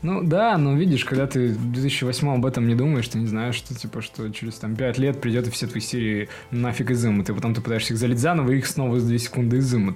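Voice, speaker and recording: There is noticeable background noise as a man speaks at a very fast pace. His pitch is medium for a man, with ordinary pitch variation. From Russia, Perm. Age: 20s. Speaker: cartoon fan community admin, petroleum engineer. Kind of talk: casual chat. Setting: studio.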